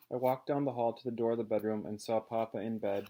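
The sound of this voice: The reading voice is unforced. Its intonation stays fairly even.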